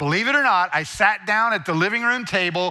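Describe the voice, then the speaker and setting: A man's voice sounds bright and sharp with lively intonation. Audible room echo surrounds it. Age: 60s. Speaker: guest preacher and speaker. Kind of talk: sermon.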